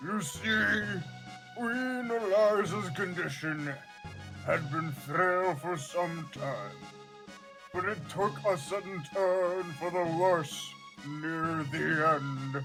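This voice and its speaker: A put-on character voice at a very slow pace with long, frequent pauses, over clear music in the background. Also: man, high pitch for a man. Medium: game stream. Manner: formal.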